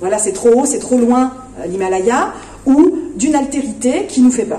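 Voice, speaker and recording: Amid noticeable background noise and audible room echo, a woman speaks at a moderate pace, her high pitch making very wide swings. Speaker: philosophy festival speaker. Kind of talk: lecture. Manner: hesitant, many fillers.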